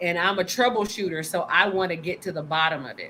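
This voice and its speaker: At a moderate pace, a woman talks with medium pitch and fairly even intonation. Hers is an unremarkable speaking voice. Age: 50s. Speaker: panel guest. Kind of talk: casual chat.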